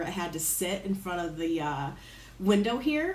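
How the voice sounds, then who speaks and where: A woman speaks in an animated tone at a fairly slow pace. Audible room echo and noticeable background noise fill the recording. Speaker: lifestyle vlogger. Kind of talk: casual vlog talk. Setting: home, in front of a window.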